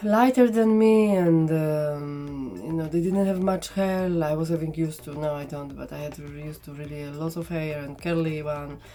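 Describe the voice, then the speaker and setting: A woman with a strong non-native accent and a very deep, low pitch talks at a moderate pace with hardly any pauses, ordinary pitch variation and big swings in loudness. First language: not English. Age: 40s. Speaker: makeup vlogger. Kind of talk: casual makeup tutorial chat. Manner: halting, many fillers.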